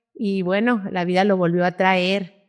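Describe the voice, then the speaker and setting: A woman speaks in a monotone, flat intonation at a fairly slow pace. The background is quiet. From northern Mexico, Parral (Chihuahua) and Comarca Lagunera. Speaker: cattle rancher and livestock association leader. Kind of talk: interview.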